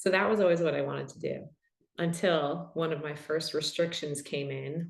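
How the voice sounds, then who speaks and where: With vocal fry and audible room echo, a voice in a New York accent speaks at a fairly slow pace with fairly even intonation. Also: woman. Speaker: podcast host and somatic practitioner. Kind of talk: panel Q&A conversation.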